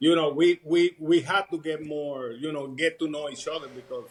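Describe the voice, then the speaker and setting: A fairly high-pitched man in a Puerto Rican accent, at a moderate pace with ordinary pitch variation. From Puerto Rico. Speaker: retired army sergeant. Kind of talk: casual interview.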